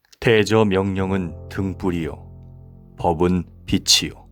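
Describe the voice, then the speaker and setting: A man with a very deep, low voice speaks with ordinary pitch variation over music in the background. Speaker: pastor and voice actor. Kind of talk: scripture reading.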